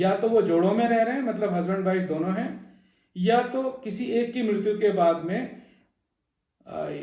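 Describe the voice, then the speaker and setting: With audible room echo, a man speaks at a high pitch with ordinary pitch variation. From Delhi, India (Uttarakhandi family). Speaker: video blogger / presenter. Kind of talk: informational talk. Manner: hesitant, frequent fillers.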